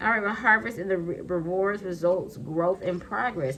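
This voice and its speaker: Music plays behind a woman of medium pitch who talks at a moderate pace with ordinary pitch variation. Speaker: tarot card reader. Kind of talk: tarot reading. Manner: animated.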